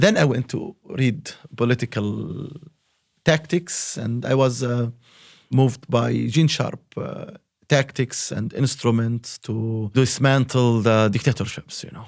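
A man with an Arabic accent at a medium pitch and fairly slow pace, with ordinary pitch variation and big swings in loudness. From Palestine, Hebron. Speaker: human rights activist. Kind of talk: interview. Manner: halting, many fillers.

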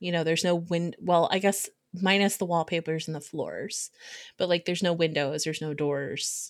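At a moderate pace, a woman speaks in a plain, everyday voice with fairly low pitch and fairly even intonation. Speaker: podcast co-host. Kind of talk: casual chat.

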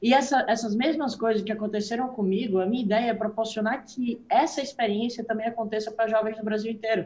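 A man speaks fairly quickly in a high pitch. His intonation stays fairly even. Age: young. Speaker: young entrepreneur. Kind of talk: interview. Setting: video call. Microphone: phone.

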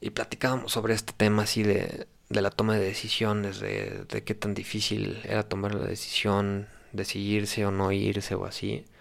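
A man speaks with a Mexican accent at a moderate pace. His fairly low voice stays monotone and flat. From Mexico. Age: 20s. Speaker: podcast host. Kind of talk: casual monologue.

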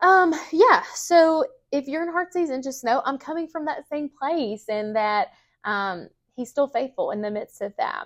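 Very wide pitch swings over a quiet background. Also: woman, high pitch for a woman, fairly slow pace. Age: 30s. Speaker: campus ministry speaker. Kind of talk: Bible teaching talk. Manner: casual with many fillers.

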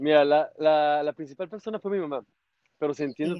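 A man with a plain, everyday voice talks at a fairly quick pace, his pitch fairly high and his intonation fairly even. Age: 30s. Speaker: motorcycle traveler. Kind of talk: casual interview.

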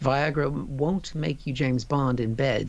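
A man with a plain, everyday voice speaks at a fairly slow pace and medium pitch. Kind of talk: casual chat, comedy banter.

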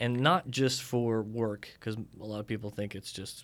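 Fairly low-pitched man at a moderate pace, with ordinary pitch variation, in a very clean recording with a silent background. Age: 40s. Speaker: criminal defense attorney. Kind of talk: interview. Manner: hesitant, many fillers.

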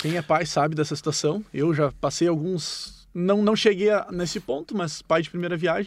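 A moderate pace with hardly any pauses and ordinary pitch variation. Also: man, high pitch for a man. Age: 30s. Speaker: firefighter. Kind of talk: interview answers.

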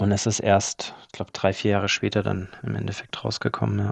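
A man's fairly low voice at a fairly quick pace, with a dry, close sound and no echo. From Germany, Allgäu (Bavarian Swabia). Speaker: property flipper. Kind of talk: interview.

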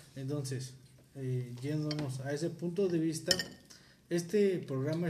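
Audible room echo surrounds a man whose somewhat breathy, dark, mellow voice sits at a fairly high pitch, with ordinary pitch variation and a fairly slow pace. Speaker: podcast host. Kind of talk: casual chat.

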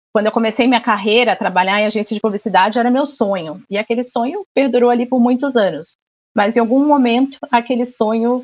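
The sound is dry and close, with no echo. A woman speaks with ordinary pitch variation. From Rio de Janeiro, Brazil. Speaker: marketing and media professional. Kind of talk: casual interview chat. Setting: remote recording from home.

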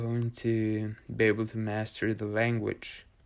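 A man with a Norwegian accent speaks at a fairly slow pace in a very clean recording with a silent background. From Norway. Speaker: podcast host. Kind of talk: solo monologue.

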